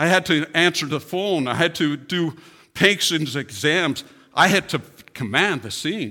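A fairly high-pitched man's voice with vocal fry, a bright, sharp tone, lively intonation and a fairly slow pace, on a very clean recording with a silent background. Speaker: church speaker giving testimony; firefighter paramedic (retired or former). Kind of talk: testimony. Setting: church. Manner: slow, halting, hesitant.

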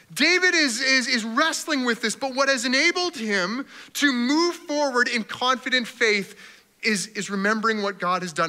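An animated man with a Canadian accent, an extremely high pitch, a raised, projected voice, very wide pitch swings and a moderate pace. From Canada. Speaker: pastor. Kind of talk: sermon.

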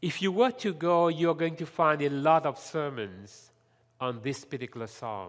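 Against a silent background in a very clean recording, a man talks at a moderate pace in a fairly high voice with very wide pitch swings. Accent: French. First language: French. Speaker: lay preacher. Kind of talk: sermon. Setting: church.

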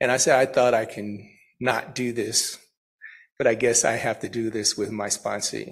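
A man with an ordinary speaking voice talks at a medium pitch, his intonation fairly even. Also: moderate pace. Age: 50s. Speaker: recovery speaker. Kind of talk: testimony. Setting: church.

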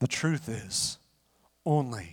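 A somewhat breathy male voice. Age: 40s. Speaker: pastor. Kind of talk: sermon.

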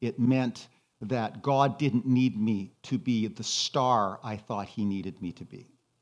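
A man with a plain, everyday voice speaks fairly slowly, his pitch varying in an ordinary way. The background is quiet. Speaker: retired pastor and spiritual director. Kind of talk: sermon-style talk with slides.

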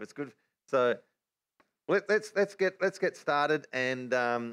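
Fairly high-pitched male voice with an Australian accent, lively intonation, a fairly slow pace, and a dry, close sound with no echo. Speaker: Bible teacher. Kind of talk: religious teaching livestream.

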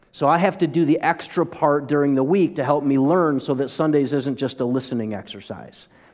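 Delivered at a fairly quick pace with hardly any pauses, the speech sits over a quiet background. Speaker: pastor. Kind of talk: sermon. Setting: church.

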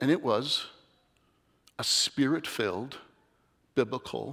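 Over a very clean recording with a silent background, a man with vocal fry and medium pitch speaks at a fairly slow pace with lively intonation. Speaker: lay preacher. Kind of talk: sermon. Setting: church. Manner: nervous, shaky.

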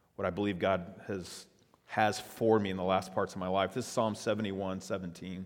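On a very clean recording with a silent background, a man with an American accent speaks in a fairly low pitch with monotone, flat intonation. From South Texas, Padre Island area. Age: 50s. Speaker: pastor. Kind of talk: sermon.

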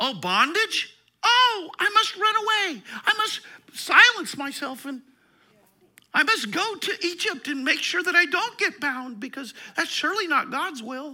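Someone puts on a whiny character voice at an extremely high pitch, speaking at a moderate pace. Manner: whiny, mocking.

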